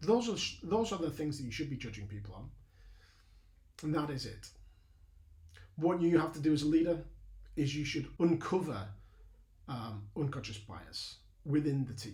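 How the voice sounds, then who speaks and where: At a moderate pace broken by long, frequent pauses, a man with a fairly high pitch and dark, mellow tone speaks with vocal fry and big swings in loudness, his voice carrying audible room echo. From northern England, Burnley, Lancashire. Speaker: leadership mentor, ex-army. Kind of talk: lecture. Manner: halting, many fillers.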